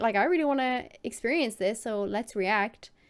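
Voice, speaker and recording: On a very clean recording with a silent background, a woman speaks with an American accent and a fairly high pitch. Her tone is animated, with ordinary pitch variation. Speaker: YouTube reaction creator and streamer. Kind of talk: casual Q&A to camera.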